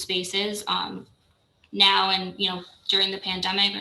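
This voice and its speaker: A medium-pitched woman's voice with audible room echo. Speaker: borough staff presenter. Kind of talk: budget presentation at public meeting. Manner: fast.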